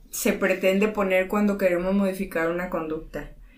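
Here a woman talks at a fairly quick pace with medium pitch for a woman. Audible room echo fills the recording. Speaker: podcast co-host. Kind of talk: casual chat.

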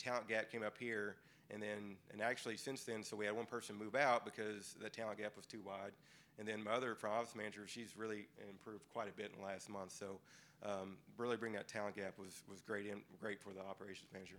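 Very fast and monotone, a man speaks with flat intonation. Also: fairly low pitch for a man. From Kentucky. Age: 40s. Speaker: physical therapy practice owner. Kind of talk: panel discussion.

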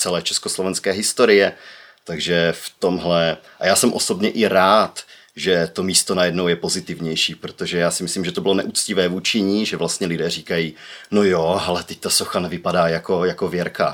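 A man with a very deep, low voice speaks at a moderate pace in a monotone with flat intonation. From Czech Republic, Ostrava. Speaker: social media city promoter. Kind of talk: casual chat.

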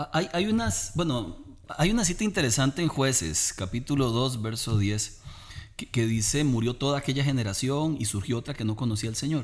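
A man's plain, everyday voice, medium in pitch, at a moderate pace. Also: lively intonation. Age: 40s. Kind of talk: religious family talk.

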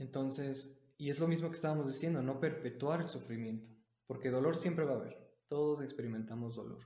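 In audible room echo, a man with a somewhat breathy, dark, mellow tone and fairly high pitch speaks at a fairly quick pace with fairly even intonation. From Mexico City. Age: 20s. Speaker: university student and martial arts teacher. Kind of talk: podcast interview. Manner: halting.

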